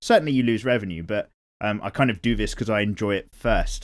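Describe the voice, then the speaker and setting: A man with a British accent talks in a relaxed tone at a fairly quick pace, in a very clean recording with a silent background. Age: 30s. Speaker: art YouTuber. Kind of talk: casual chat while drawing. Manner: casual, relaxed.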